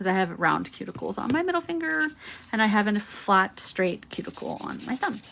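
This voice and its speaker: Soft-spoken and mumbling, a woman talks at a moderate pace and medium pitch with very wide pitch swings, over noticeable background noise. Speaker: nail art content creator. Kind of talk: tutorial livestream. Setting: home livestream. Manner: mumbly.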